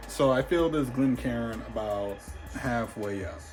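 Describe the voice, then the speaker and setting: A moderate pace and ordinary pitch variation amid noticeable background noise and audible room echo. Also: man. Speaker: whiskey reviewer YouTuber. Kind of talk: casual vlog commentary while gaming.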